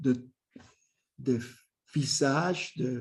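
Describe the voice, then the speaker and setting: A man's dark, mellow voice in a Spanish accent. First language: Spanish (speaking French). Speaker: academic, clinical psychoanalyst. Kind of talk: lecture. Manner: halting, many repetitions and hesitations.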